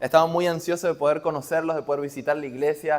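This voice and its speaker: A man with an Argentine accent talks at a fairly quick pace. His pitch is fairly high and his intonation fairly even. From Argentina. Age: young. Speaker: preacher. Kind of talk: sermon. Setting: church.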